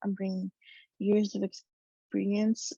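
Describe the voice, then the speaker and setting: This woman speaks fairly slowly at a medium pitch, her voice somewhat breathy. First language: Spanish. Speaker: medical student. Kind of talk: speech. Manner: halting.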